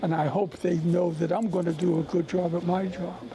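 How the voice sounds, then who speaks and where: Through noticeable background noise, a man with a high pitch talks at a fairly quick pace with fairly even intonation. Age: 80s+. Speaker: stat crew member and former quarterback. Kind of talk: interview. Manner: halting.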